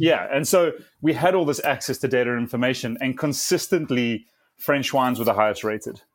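Fairly quick speech in a South African accent, with ordinary pitch variation, on a very clean recording with a silent background. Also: man, medium pitch for a man. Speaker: wine entrepreneur. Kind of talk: interview.

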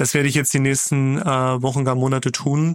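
A man's medium-pitched voice at a fairly quick pace, with monotone, flat intonation. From Magdeburg, eastern Germany. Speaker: startup founder and CEO. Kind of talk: interview. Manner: frequent filler sounds.

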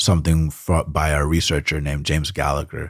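A man's very deep, low voice with monotone, flat intonation. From US South. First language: Spanish. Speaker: startup CEO. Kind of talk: casual interview.

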